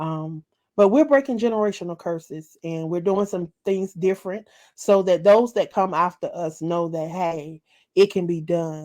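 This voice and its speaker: A woman with a Southern US accent against a quiet background. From US South, rural South Carolina. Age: 40s. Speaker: author and internet radio host. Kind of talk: interview. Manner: halting, with fillers.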